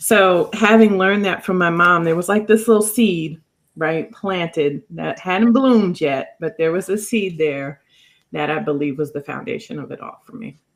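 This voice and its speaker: Here is an ordinary speaking voice: a woman at a medium pitch with ordinary pitch variation, talking at a moderate pace. The recording is very clean, with a silent background. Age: 50s. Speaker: life coach and author. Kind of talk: podcast interview.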